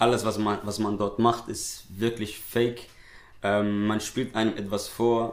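A man with a Somali accent speaks fairly slowly in a fairly low, monotone, flat voice, with audible room echo. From Switzerland (raised there, born in Somalia). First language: Somali (speaking German). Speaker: nasheed artist and poet. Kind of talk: casual interview. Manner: hesitant, many fillers.

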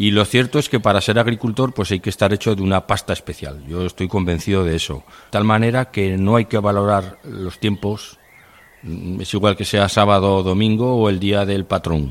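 A man speaks in a normal speaking voice, fairly low in pitch, with ordinary pitch variation at a moderate pace. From Navarre, Spain (Tudela). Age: 50s. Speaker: farmer. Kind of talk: interview testimony.

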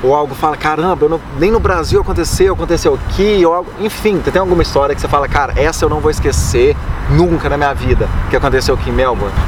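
Speaking at a very fast pace with hardly any pauses, a man keeps his loudness very even. Noticeable background noise and audible room echo surround him. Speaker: podcast host. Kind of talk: casual interview.

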